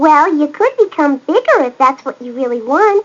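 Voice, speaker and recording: Someone puts on a high-pitched character voice. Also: moderate pace. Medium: read story. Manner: gentle, kindly.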